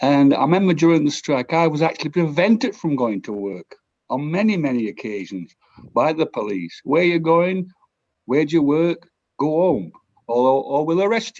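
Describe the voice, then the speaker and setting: With a South Yorkshire accent, a man speaks at a moderate pace in a fairly high pitch with lively intonation. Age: 60s. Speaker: audience member asking a question. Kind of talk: audience question. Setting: video call.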